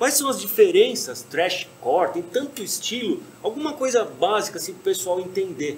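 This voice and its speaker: The speaker's pitch swings very widely and the loudness rises and falls a great deal. The pace is moderate, with light background noise behind. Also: man, high pitch for a man, hardly any pauses. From Brazil. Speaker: podcast host. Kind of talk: casual chat. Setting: bar or venue with stage. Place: stage.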